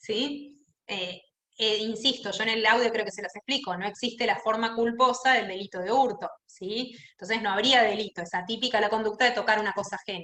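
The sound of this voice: A woman talks at a fairly quick pace and medium pitch, with ordinary pitch variation and a bright, sharp tone. Room echo is audible.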